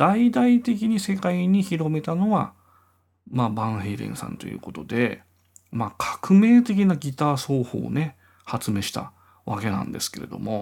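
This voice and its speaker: Very wide pitch swings and big shifts in loudness in a man's fairly high voice, delivered at a moderate pace. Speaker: podcaster and guitarist. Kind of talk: casual solo monologue.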